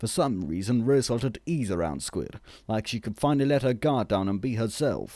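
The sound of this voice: The clip offers an unforced reading voice.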